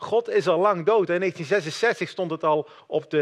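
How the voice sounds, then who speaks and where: A man's high-pitched voice with ordinary pitch variation, dry and close with no echo, over a quiet background. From Netherlands. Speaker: lay preacher. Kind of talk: sermon.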